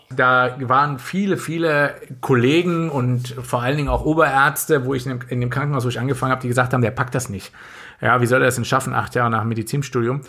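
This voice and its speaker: Talking at a very fast pace, a man uses a medium pitch, fairly even intonation and a bright, sharp tone. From western Germany, Lower Rhine area near Korschenbroich. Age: 40s. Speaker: doctor. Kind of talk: casual chat. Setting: home studio, remote.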